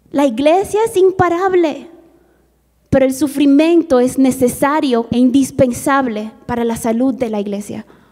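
A woman with a Mongolian accent, high in pitch and lively in intonation. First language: Mongolian (speaking Spanish). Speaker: missionary. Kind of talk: testimony.

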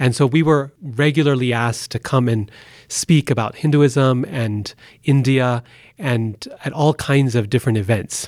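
A man with an American accent has an ordinary speaking voice at a medium pitch. He talks at a fairly slow pace with ordinary pitch variation. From Boise, Idaho, US. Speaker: professor of religious studies. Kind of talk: interview conversation. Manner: formal.

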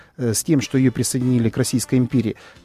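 A man at medium pitch, with music in the background and a dry, close sound with no echo. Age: 40s. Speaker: political emigrant, guest. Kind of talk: radio talk show. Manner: halting, many fillers.

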